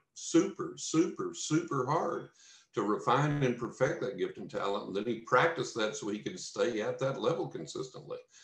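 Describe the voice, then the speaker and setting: Speaking at a moderate pace, a man talks with a West Texas accent. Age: 60s. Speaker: psychic medium and author. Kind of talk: podcast interview.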